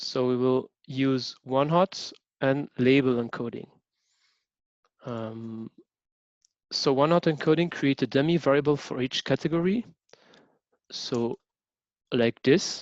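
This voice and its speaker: Speaking very slowly with long, frequent pauses, a man with a French accent is recorded with a dry, close sound with no echo against a quiet background. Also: medium pitch for a man, ordinary pitch variation. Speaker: teaching assistant. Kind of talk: lecture. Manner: halting, many fillers.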